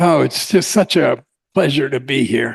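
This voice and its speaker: A man speaks with vocal fry, his voice captured with a dry, close sound with no echo. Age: 80s+. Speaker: keynote speaker, existential therapist. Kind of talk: conference keynote speech; reading a prepared paper. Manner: halting, many filler words.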